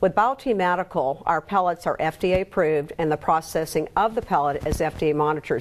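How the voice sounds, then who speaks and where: Talking at a very fast pace, a woman has a fairly low pitch and ordinary pitch variation. Noticeable background noise sits behind her. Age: 60s. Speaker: skin care and hormone therapy specialist. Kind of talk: TV interview with promotional talk. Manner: energetic.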